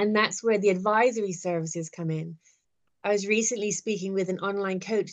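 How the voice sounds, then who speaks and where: A woman speaks in a Bermudian accent at a moderate pace. Her intonation stays fairly even. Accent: Bermudian-tinged English, non-UK. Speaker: business owner, virtual assistant. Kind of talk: interview, business chat. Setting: video call.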